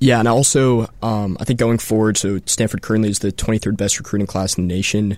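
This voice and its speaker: Hardly pausing, a man speaks in a plain, everyday voice. His pitch is fairly low, with an American accent. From Colorado. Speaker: student sports fan. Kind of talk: casual sports talk. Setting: radio studio.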